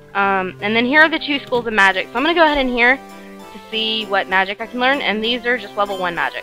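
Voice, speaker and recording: A woman's fairly high voice at a very fast pace, with very wide pitch swings and big swings in loudness, over music in the background. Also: hardly any pauses. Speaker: let's play gamer. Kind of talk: casual let's play commentary. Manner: hesitant, filler-heavy.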